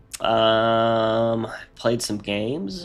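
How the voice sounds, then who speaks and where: Over noticeable background noise, a man talks at medium pitch. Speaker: gaming streamer. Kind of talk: casual chat. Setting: live stream. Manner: relaxed, halting.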